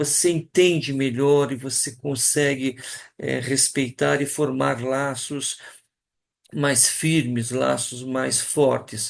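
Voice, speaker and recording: A man talks at a very slow pace and a medium pitch. His intonation stays fairly even. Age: 60s. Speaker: teacher. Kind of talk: talk to colleagues. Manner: hesitant, many fillers.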